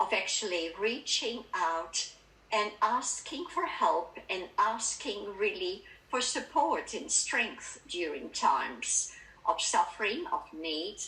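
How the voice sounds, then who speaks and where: In a Dutch accent, a woman speaks at a very slow pace with very wide pitch swings, amid noticeable background noise and audible room echo. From Netherlands. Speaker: spiritual speaker. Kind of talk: talk at a spiritualist church service. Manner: calm, reflective.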